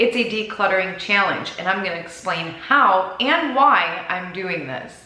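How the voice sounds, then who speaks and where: A woman speaks at a fairly slow pace in a room with audible echo and noticeable background noise. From Minnesota, US. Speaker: lifestyle vlogger. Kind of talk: casual chat. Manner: chatty, talkative.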